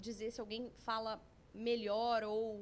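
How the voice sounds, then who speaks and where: A woman speaks in a Paraná accent. Her pace is very slow. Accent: Paraná accent, strongly rolled R. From Brazil, Paraná. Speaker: language school representative. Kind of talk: podcast interview.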